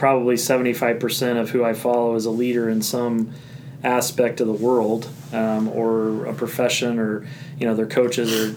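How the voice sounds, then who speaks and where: With an American accent, a man speaks at a moderate pace in a medium, flat monotone, with noticeable background noise and audible room echo. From Indiana. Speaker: high school principal. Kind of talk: casual chat.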